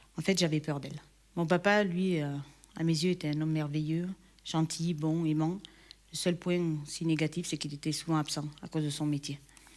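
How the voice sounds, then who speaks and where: A woman speaks at a moderate pace with a very deep, low pitch and monotone, flat intonation, leaving long, frequent pauses. The recording is very clean, with a silent background. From southern France, Perpignan. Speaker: church member giving testimony. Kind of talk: testimony. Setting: recorded video shown in church. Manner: hesitant, many fillers.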